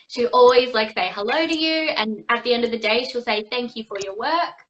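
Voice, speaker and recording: A woman's fairly high voice with an Australian accent. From Australia, Perth. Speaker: actress and singer. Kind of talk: interview. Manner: casual, many fillers.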